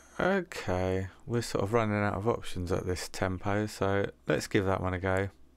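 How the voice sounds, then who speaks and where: Here a man speaks in an unremarkable speaking voice, fairly low in pitch, at a moderate pace with hardly any pauses. His intonation is fairly even, and the recording is very clean with a silent background. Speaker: music producer. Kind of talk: tutorial. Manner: casual.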